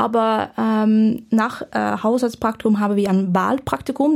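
A woman with a Dutch accent, her pitch fairly high, her pace fairly slow. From Netherlands. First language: Dutch (speaking German). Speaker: medical student. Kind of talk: casual interview. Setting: podcast studio. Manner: halting.

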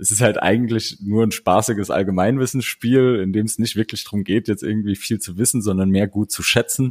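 With a normal speaking voice, a man talks at a fairly quick pace and fairly low pitch, using fairly even intonation and hardly any pauses, in a dry, close sound with no echo. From Saarland, Blieskastel. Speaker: board game podcaster. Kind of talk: casual chat. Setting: video call.

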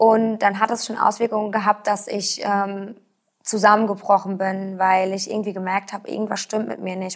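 On a very clean recording with a silent background, a woman at medium pitch talks at a moderate pace with monotone, flat intonation and big swings in loudness. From Rhineland-Palatinate, Germany. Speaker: patient with rare disease. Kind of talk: interview. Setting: studio. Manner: halting, many fillers.

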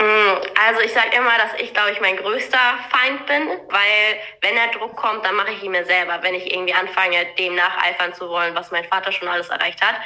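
A woman speaks at a fairly quick pace with ordinary pitch variation. There is noticeable background noise. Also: medium pitch for a woman. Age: 20s. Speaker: eventing rider. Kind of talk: interview.

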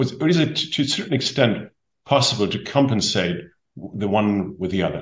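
Somewhat breathy, a man with a German accent swings his pitch very widely. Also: medium pitch for a man, moderate pace. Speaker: podcast host, speaker agency head. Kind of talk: interview.

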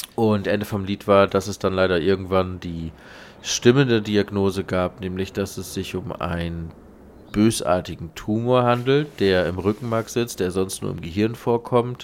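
This is a man speaking. His voice sits at a fairly low pitch. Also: very clean recording, silent background. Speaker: podcast co-host. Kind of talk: casual chat.

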